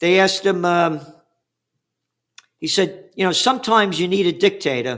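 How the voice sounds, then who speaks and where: Using a New York accent, a man with a high pitch talks at a moderate pace, with ordinary pitch variation and long, frequent pauses. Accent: New York (Bronx). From New York City, the Bronx. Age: 70s. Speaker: trend forecaster. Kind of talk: interview. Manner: animated.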